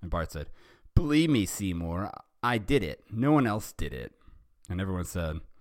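Someone reads aloud in a natural voice.

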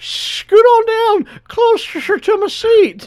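Someone whispers at a very slow pace. The voice is a put-on character voice. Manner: creepy.

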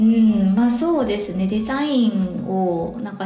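Pitched fairly high, a woman speaks in a Kansai accent with ordinary pitch variation. Noticeable background noise and audible room echo surround her. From Osaka, Japan. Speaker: web director. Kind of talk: casual interview chat.

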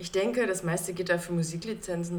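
A woman talks at a moderate pace. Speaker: podcast co-host. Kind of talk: casual chat.

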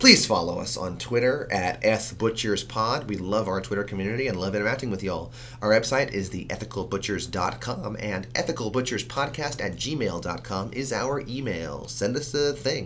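Amid audible room echo, a man with a bright, sharp tone and vocal fry talks at a fairly low pitch and moderate pace, with hardly any pauses and ordinary pitch variation. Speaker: podcast co-host. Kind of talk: casual chat.

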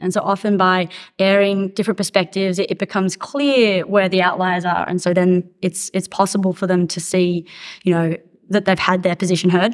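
In an Australian accent, a woman speaks at a medium pitch with monotone, flat intonation on a very clean recording with a silent background. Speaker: cardiac intensivist. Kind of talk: panel discussion.

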